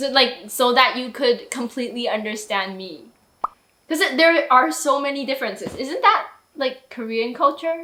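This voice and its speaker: Raising and projecting her voice, a woman speaks at a high pitch and a moderate pace with lively intonation. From Taiwan. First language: Mandarin. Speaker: YouTuber. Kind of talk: casual chat.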